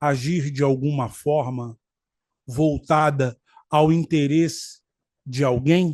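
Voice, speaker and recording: The background is quiet as a man speaks at a fairly high pitch. He has an ordinary speaking voice. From Rio de Janeiro, Brazil. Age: 50s. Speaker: law graduate, political commentator. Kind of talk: political commentary talk to camera.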